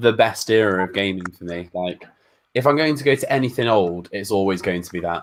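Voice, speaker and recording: This man has a fairly low voice and talks at a fairly quick pace, with ordinary pitch variation and big swings in loudness. It is an ordinary speaking voice on a very clean recording with a silent background. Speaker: gaming YouTuber. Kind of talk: casual chat.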